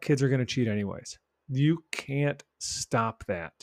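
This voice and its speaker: With a plain, everyday voice, a man speaks at a fairly high pitch with lively intonation, in a dry, close sound with no echo on a very clean recording with a silent background. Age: 50s. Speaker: podcast host, educator. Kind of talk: solo podcast monologue. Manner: conversational.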